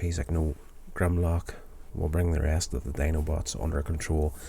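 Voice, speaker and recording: His very deep, low pitch and dark, mellow tone come through somewhat breathy, as the man keeps his intonation fairly even. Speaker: TV episode reviewer, vlogger. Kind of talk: casual review recap. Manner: casual with frequent fillers.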